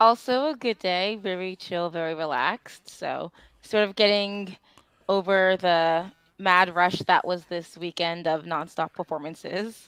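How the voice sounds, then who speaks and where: With an unremarkable speaking voice, a woman talks fairly slowly at medium pitch with ordinary pitch variation, in a quiet background with a dry, close sound and no echo. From Canada, Toronto. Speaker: drag performer. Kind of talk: casual chat. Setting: livestream.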